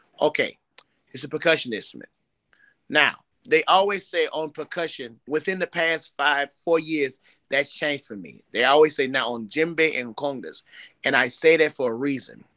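In an American accent, a man with a fairly high pitch and a bright, sharp tone talks at a moderate pace with ordinary pitch variation and big swings in loudness against a quiet background. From US Midwest, East St. Louis, Illinois; Illinois. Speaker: djembe player and composer; interviewee. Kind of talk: interview. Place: home room. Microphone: video call.

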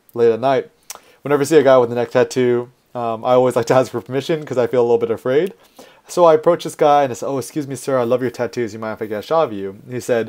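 Speaking at a very fast pace with ordinary pitch variation, this voice comes through over a quiet background. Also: man. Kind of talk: lecture. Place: home room.

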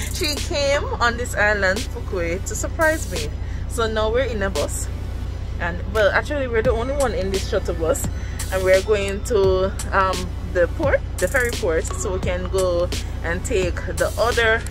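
With clear music in the background, a man delivers his words fairly slowly. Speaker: travel vlogger. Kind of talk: casual vlog chat. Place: bus. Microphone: phone near.

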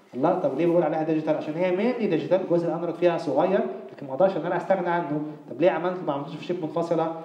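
Over noticeable background noise and audible room echo, a man talks at a very fast pace in a high voice. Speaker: university lecturer. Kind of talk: lecture.

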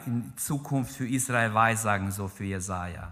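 Against a quiet background, a man talks very slowly. His tone is bright and sharp. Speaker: preacher. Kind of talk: sermon in church, fervent preaching with prayer and exhortation to the congregation. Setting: church with congregation. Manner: passionate, emphatic, urgent; exhorting the congregation directly, repeating key phrases. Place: church. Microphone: podium.

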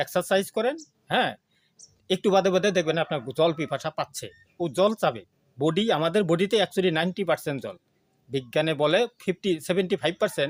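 Ordinary pitch variation comes through in a dry, close sound with no echo, on a very clean recording with a silent background. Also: man, high pitch for a man. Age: 40s. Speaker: health product promoter. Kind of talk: sales pitch. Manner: animated.

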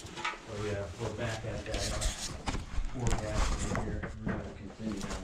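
A man at a moderate pace, with loud background noise and audible room echo. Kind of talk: casual exploration commentary. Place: tunnel cave. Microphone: phone near.

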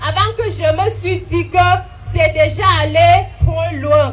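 A woman talks very slowly over light background noise. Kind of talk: testimony. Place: open country. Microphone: handheld.

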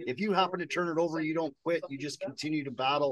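A man speaks in a fairly high voice with ordinary pitch variation.

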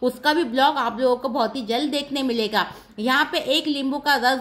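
Speaking at a fairly slow pace, a woman uses a high pitch and fairly even intonation. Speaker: cooking vlogger. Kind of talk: cooking tutorial. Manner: chatty. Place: kitchen. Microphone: phone near.

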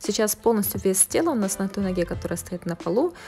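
The speech has ordinary pitch variation, with faint music playing in the background. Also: woman. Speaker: fitness instructor. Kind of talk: tutorial. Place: gym.

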